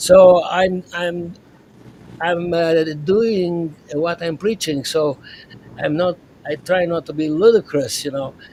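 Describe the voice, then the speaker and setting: Amid noticeable background noise, a man with a high pitch speaks very slowly, with long, frequent pauses and fairly even intonation. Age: 80s+. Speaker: psychiatrist. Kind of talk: podcast interview. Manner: halting.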